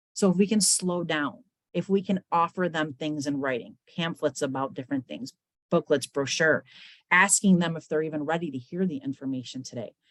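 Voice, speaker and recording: A woman with a fairly low voice and lively intonation, talking at a fairly quick pace in a dry, close recording with no echo. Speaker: webinar presenter on mental health. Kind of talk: webinar presentation. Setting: online webinar. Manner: talkative.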